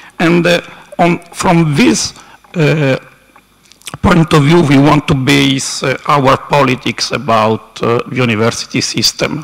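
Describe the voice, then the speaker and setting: With an Italian accent and a fairly high pitch, a man speaks at a fairly slow pace over noticeable background noise. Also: ordinary pitch variation. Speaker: university council representative. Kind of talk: conference speech. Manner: halting.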